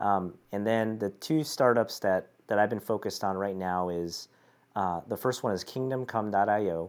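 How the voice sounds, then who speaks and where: Heard on a very clean recording with a silent background, a man with an American accent and an unremarkable speaking voice talks at a moderate pace, with a fairly low pitch and ordinary pitch variation. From Chicago, US Midwest. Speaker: entrepreneur. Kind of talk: casual chat.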